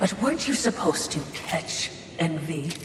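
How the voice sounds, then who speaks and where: A put-on character voice at a middle pitch speaks at a moderate pace. Background noise and echo are both clear. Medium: short film. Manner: fawning, wordy.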